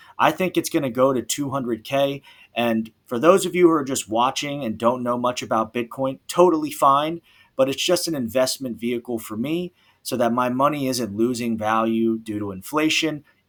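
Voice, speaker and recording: A man speaks with an American accent in an unremarkable speaking voice at a medium pitch. His pace is moderate, and the recording is very clean with a silent background. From USA. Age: 30s. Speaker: school teacher and investing vlogger. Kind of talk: personal finance vlog. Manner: casual, conversational.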